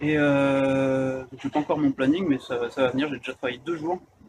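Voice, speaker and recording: Noticeable background noise sits behind a man speaking. His pitch is fairly high, and his intonation fairly even. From France. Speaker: vlogger. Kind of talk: casual chat. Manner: halting, many fillers.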